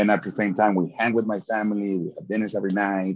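A man at a fairly low pitch over a quiet background. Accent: Spanish. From Mexico, Guadalajara. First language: Spanish. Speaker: sports fan and chant leader, engineering teacher. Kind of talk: casual interview.

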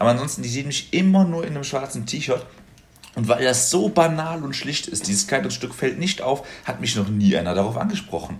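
Speaking at a fairly quick pace with very wide pitch swings, a man is heard over noticeable background noise. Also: medium pitch for a man. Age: 20s. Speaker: podcast guest, student. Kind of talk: casual chat.

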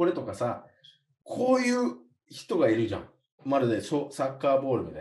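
A man's loudness swings widely as he talks fairly quickly. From USA. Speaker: podcast co-host. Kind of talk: casual chat.

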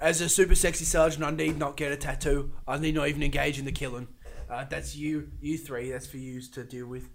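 A man speaks at a fairly quick pace with a fairly high pitch and vocal fry. His intonation stays fairly even while his loudness swings a lot. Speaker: comedy podcast co-host. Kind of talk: improvised comedic role-play.

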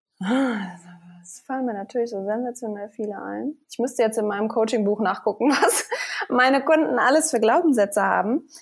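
She uses an ordinary speaking voice at a fairly high pitch. This woman keeps a moderate pace, her pitch varying in an ordinary way. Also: big swings in loudness. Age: 30s. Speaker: fitness coach. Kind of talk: interview.

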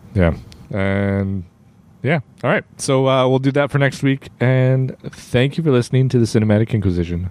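In a normal speaking voice, the speaker keeps a very even loudness and lively intonation at a moderate pace. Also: man, medium pitch for a man. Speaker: podcast host. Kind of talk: casual chat.

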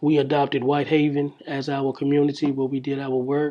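A man speaks at a moderate pace in a fairly high voice, his intonation monotone and flat. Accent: Memphis. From US South, Memphis, Tennessee. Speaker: community organizer. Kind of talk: interview. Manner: halting, many fillers.

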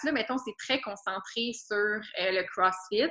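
Fairly slow speech from a woman with a Quebec accent, with ordinary pitch variation. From Quebec, Laurentians. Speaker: student. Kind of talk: casual interview.

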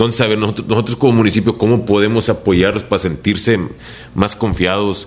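With very even loudness and monotone, flat intonation, a man talks fairly quickly at a fairly low pitch. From Reynosa, Tamaulipas, Mexico. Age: 30s. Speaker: mayoral candidate. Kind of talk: interview. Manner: halting.

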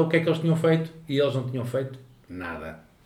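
Amid noticeable background noise and audible room echo, a man talks at a very fast pace with ordinary pitch variation. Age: 30s. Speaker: podcast co-host. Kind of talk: casual chat.

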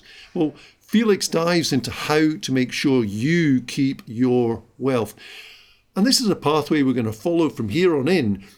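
Recorded very cleanly with a silent background, a man with a plain, everyday voice speaks at a fairly slow pace with a fairly high pitch and lively intonation. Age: 50s. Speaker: business podcast host. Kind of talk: solo podcast monologue.

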